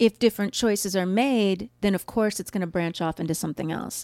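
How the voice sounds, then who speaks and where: Recorded very cleanly with a silent background and a dry, close sound with no echo, a woman with an ordinary speaking voice and an American accent speaks at a moderate pace and medium pitch with ordinary pitch variation. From US Midwest. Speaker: podcast co-host. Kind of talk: casual chat. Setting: studio.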